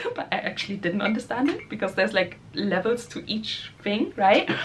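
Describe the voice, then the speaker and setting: Over noticeable background noise, a woman with a German accent speaks fairly quickly at a fairly high pitch with ordinary pitch variation. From Germany. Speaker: spiritual musician and vlogger. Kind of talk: casual vlog talk. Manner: hesitant, filler-heavy.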